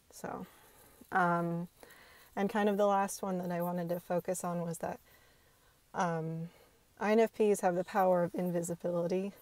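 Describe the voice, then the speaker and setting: Quiet and monotone, a woman with a medium pitch speaks in a flat way, leaving long, frequent pauses. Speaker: video blogger. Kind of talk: casual monologue to camera. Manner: hesitant, many filler ums.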